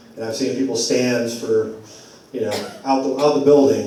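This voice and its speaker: A man speaks at a moderate pace with fairly even intonation. There is audible room echo and noticeable background noise. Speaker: community organizer. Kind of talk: public forum talk. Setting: church community forum. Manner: halting, repeats words.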